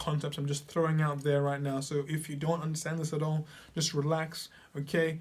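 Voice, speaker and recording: A man's fairly high voice, flat and monotone, at a fairly quick pace. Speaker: piano teacher. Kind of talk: tutorial. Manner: casual with filler words.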